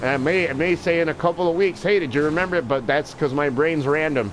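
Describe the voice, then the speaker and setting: Over noticeable background noise, a man talks at a fairly quick pace in an animated tone, his fairly high pitch showing ordinary pitch variation. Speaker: video game live streamer. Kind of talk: casual livestream chat. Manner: loud, sounds like yelling.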